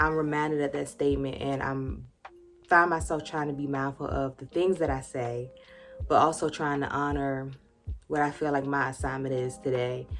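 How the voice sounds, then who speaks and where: With music in the background, a woman with an American accent speaks at a very deep, low pitch and fairly even intonation. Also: moderate pace. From rural US. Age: 30s. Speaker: YouTuber. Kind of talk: casual vlog talk. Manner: conversational.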